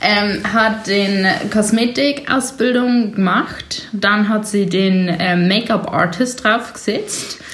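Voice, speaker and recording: Speaking very slowly at a very even loudness, a woman with a fairly high pitch and fairly even intonation is heard over noticeable background noise, with audible room echo. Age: 20s. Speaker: podcast co-host, massage and body treatment therapist. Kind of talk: casual chat. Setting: sitting on a cosmetics treatment bed, drinking sparkling wine.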